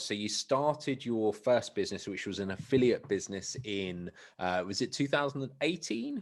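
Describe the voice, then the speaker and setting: In a plain, everyday voice, a man speaks at a moderate pace and medium pitch with lively intonation and hardly any pauses. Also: quiet background. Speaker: online business coach, affiliate marketer. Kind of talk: interview host questions.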